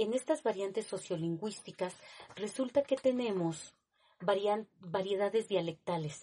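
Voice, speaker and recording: Her voice dark and mellow, a woman speaks at a fairly slow pace in a medium pitch with ordinary pitch variation. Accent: Mexico City. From Mexico City. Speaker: teacher. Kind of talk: lecture. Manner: halting.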